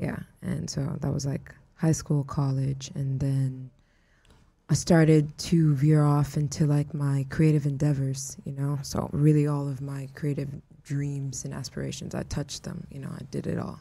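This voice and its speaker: Speaking with an American accent, a woman uses a very deep, low pitch and a dark, mellow, somewhat breathy tone, keeping a moderate pace and a monotone, flat intonation in a very clean recording with a silent background. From Houston, Texas. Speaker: artist and viral internet personality. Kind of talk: casual chat.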